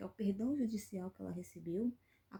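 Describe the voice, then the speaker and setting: The tone is dark and mellow as a woman talks. There is a somewhat breathy quality to her voice. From Brazil, Rio de Janeiro state (Angra dos Reis). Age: 30s. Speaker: YouTuber, commentary channel host. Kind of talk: opinion commentary vlog. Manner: indignant, emphatic with hesitations.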